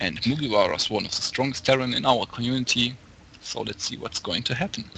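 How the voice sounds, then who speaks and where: A very fast man's voice at medium pitch with ordinary pitch variation and a German accent. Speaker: esports commentator. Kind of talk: live commentary. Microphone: too quiet after touching mic.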